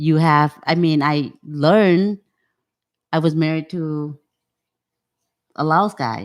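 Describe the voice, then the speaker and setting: A woman with a Cambodian accent and a very deep, low pitch speaks at a very slow pace with long, frequent pauses and ordinary pitch variation. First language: Khmer. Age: old. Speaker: podcast guest. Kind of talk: casual interview chat.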